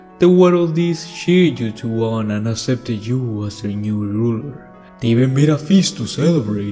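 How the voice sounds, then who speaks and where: With clear music in the background, a man puts on a character voice at a medium pitch. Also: moderate pace. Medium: audio drama. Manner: calm, measured.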